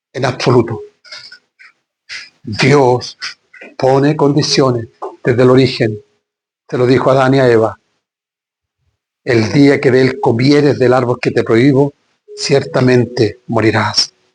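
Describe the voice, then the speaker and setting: Speaking at a fairly slow pace with long, frequent pauses, a man with a medium pitch keeps very even loudness and fairly even intonation in a somewhat breathy voice. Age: 60s. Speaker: pastor. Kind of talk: sermon.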